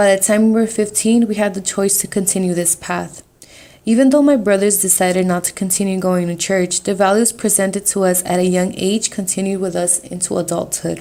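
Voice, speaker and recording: A woman with a Salvadoran accent speaks at a fairly quick pace and a medium pitch, her dark, mellow tone and fairly even intonation captured in a very clean recording over a silent background. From US, Salvadoran family. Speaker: student. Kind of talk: reading aloud.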